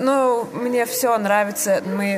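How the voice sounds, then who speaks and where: Against noticeable background noise, a woman with a Lithuanian accent speaks with fairly even intonation. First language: Lithuanian (speaking Russian). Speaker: theatre director. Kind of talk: interview. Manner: halting.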